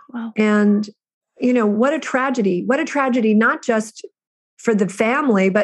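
At a moderate pace, a woman speaks in an unremarkable speaking voice pitched fairly high. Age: 50s. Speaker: prison reform activist. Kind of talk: interview.

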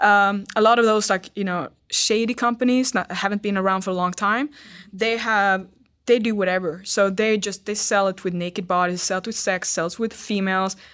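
In a very clean recording with a silent background, a woman with a Swedish accent speaks at a moderate pace and medium pitch, her intonation fairly even. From Sweden. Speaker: fitness model. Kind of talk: casual interview.

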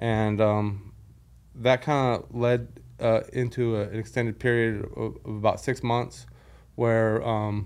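With an American accent, a man speaks at medium pitch in a monotone, flat intonation. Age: 40s. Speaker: former merchant mariner with Parkinson's. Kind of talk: interview about personal illness. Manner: halting with many fillers.

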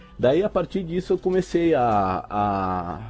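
A man is speaking. His pitch swings very widely. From Uruguay-Brazil border (Rivera / Santana do Livramento). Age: 20s. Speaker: cosplay prop maker. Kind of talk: casual interview.

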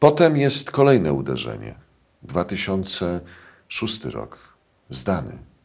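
A man's very deep, low voice with vocal fry, very wide pitch swings and a very slow pace. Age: 50s. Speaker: journalist and UFO researcher. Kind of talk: casual interview.

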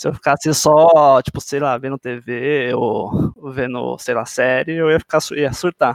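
A man's ordinary speaking voice, fairly high and fairly slow, with fairly even intonation, hardly any pauses, and a dry, close sound with no echo. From Brazil, São Paulo. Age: 20s. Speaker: motion designer. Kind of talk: casual chat.

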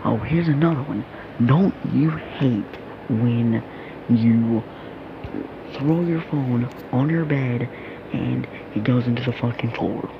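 Amid noticeable background noise, someone with an American accent speaks at a very slow pace with long, frequent pauses. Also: man, medium pitch for a man, ordinary pitch variation. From United States. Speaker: youtuber. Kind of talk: casual monologue. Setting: in bed.

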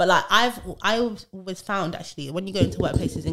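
A woman speaks very fast in a British accent, her pitch medium and its variation ordinary. Noticeable background noise runs behind her. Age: 20s. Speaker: HR podcast host. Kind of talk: casual chat. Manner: animated.

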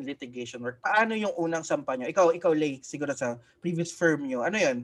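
Against a quiet background, a man in a plain, everyday voice talks at a fairly quick pace with a fairly high pitch. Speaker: podcast co-host and lawyer. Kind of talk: casual chat. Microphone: new mic.

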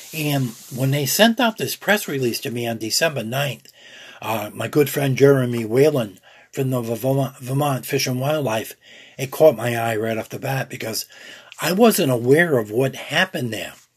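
At a moderate pace, a man with a somewhat breathy voice speaks in a medium pitch, his pitch varying in an ordinary way. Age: old. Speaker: outdoors radio show host. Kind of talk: radio show with live-read ads. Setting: radio studio.

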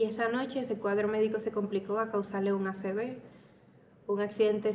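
Her pitch fairly high, a woman speaks at a moderate pace in a monotone, flat intonation. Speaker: podcaster. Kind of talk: personal storytelling monologue. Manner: casual.

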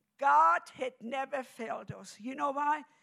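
Speaking at a very slow pace, a woman uses a high pitch with a German accent. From Germany. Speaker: preacher. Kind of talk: sermon.

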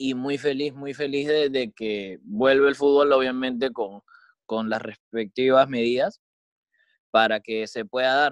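A man speaks at a fairly slow pace. His pitch is medium, with ordinary pitch variation. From Peru. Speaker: football podcast co-host. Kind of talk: casual chat. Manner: halting, many repetitions.

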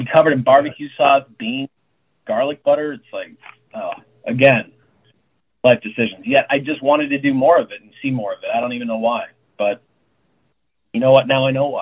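With an American accent, a man speaks fairly quickly at a fairly high pitch, with ordinary pitch variation, big swings in loudness and long, frequent pauses. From Tucson, Arizona. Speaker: chef and restaurant owner. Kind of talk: casual chat.

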